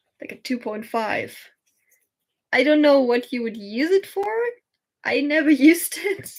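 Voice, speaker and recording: The woman's pace is moderate. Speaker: crochet streamer. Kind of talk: casual livestream chat while crafting. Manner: rambling, hesitant with fillers.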